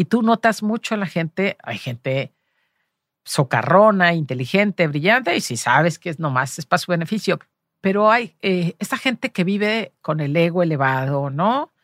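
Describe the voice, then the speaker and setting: A woman's fairly low voice with very wide pitch swings, in a Jalisco accent. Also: moderate pace, dry, close sound with no echo, very clean recording, silent background. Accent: Mexican Spanish, Jalisco. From Mexico, Los Altos de Jalisco. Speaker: journalist and cultural manager. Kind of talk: interview.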